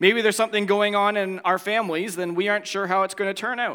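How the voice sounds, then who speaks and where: A man's raised, projected voice, high-pitched with a bright, sharp tone, fairly even intonation and a Canadian accent, on a very clean recording with a silent background. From Ontario, Canada. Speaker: pastor. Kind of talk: sermon.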